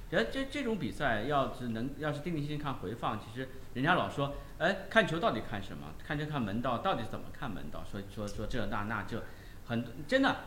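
At a fairly quick pace, the voice swings very widely in pitch, with audible room echo around it. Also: man, fairly high pitch for a man. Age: 30s. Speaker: football pundit. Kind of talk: casual football discussion.

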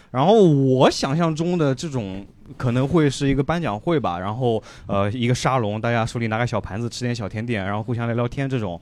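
Speaking at medium pitch with ordinary pitch variation, this man has a plain, everyday voice. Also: fairly quick pace. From Shanghai. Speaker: stand-up comedian. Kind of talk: stand-up.

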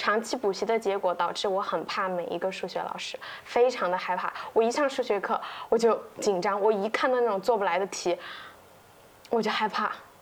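Using an ordinary speaking voice, a woman talks fairly quickly at a medium pitch with ordinary pitch variation. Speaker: copywriter, podcast co-host. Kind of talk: casual chat.

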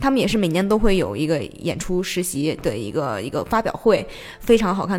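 Very wide pitch swings and vocal fry mark this woman's very fast delivery, pitched fairly low. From Xi'an, China. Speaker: theatre project manager. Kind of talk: casual interview chat. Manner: animated, energetic; laughs often.

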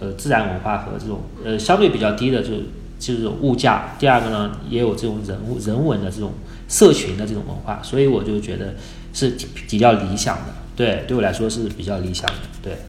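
A man's fairly low voice at a fairly quick pace, with ordinary pitch variation and audible room echo. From China, Wuhu, Anhui. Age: 30s. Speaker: freelance photographer. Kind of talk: casual interview.

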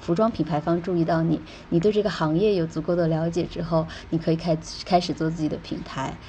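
Somewhat breathy and dark, mellow in tone, a woman speaks at a moderate pace with fairly low pitch. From China. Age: 20s. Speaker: travel blogger and e-commerce entrepreneur. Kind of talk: casual interview.

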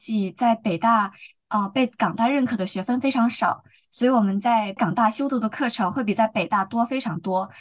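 A woman speaks at a moderate pace in an unremarkable speaking voice, pitched fairly high. Her pitch varies in an ordinary way. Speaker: law student. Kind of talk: casual interview.

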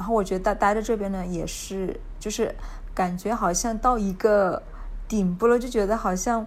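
A woman with a Hunan accent speaks at a fairly high pitch with fairly even intonation. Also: moderate pace. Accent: Hunan-accented Mandarin, noticeable. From Hunan, China. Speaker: backpacker guest. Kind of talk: casual interview chat. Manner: casual, easygoing, laughs often.

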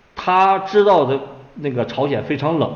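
Moderate-paced male speech with audible room echo. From Inner Mongolia, China. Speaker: author and Korean War researcher. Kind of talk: interview. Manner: hesitant with many fillers.

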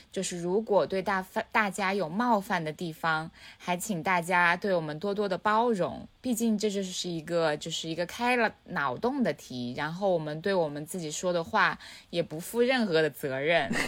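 Speaking at a moderate pace, a woman with a fairly low pitch uses lively intonation in a very clean recording with a silent background. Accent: Hunan. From Changsha, Hunan, China. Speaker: podcast co-host. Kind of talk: casual chat.

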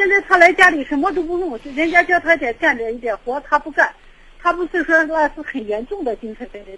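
Talking at a fairly quick pace, a woman uses lively intonation and a high pitch. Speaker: caller. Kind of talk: phone-in advice call. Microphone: too quiet.

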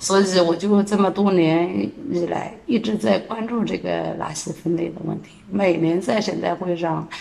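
The speech moves at a fairly slow pace with ordinary pitch variation over noticeable background noise. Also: woman. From Jiangsu, China. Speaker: street cleaning team leader. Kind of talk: interview.

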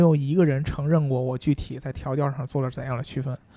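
A man speaks in a dark, mellow tone at a fairly high pitch. His voice is somewhat breathy. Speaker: car podcast co-host. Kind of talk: casual chat about cars. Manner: casual, joking banter.

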